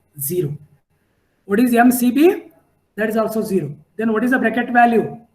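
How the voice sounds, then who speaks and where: A man with a high pitch speaks at a moderate pace with lively intonation, leaving long, frequent pauses amid audible room echo. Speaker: civil engineering lecturer. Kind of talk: lecture.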